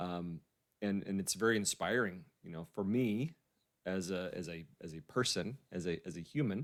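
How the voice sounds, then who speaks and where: The recording is very clean with a silent background. A man speaks at a moderate pace with a fairly low pitch and ordinary pitch variation. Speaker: interview host. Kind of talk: interview questions. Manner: tends to repeat words.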